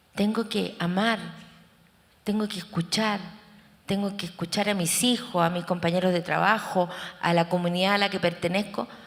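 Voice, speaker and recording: A woman's monotone, flat delivery with long, frequent pauses. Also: medium pitch for a woman, moderate pace. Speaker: therapist and researcher. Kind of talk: conference talk.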